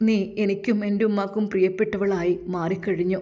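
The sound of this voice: With fairly even intonation, the text is read in an unforced reading voice.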